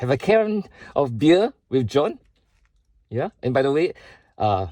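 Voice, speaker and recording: A man's dark, mellow voice with very wide pitch swings, the sound dry and close with no echo. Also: fairly high pitch for a man, fairly slow pace, very clean recording, silent background. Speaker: vlogger sharing personal struggles. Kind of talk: personal video statement. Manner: slow.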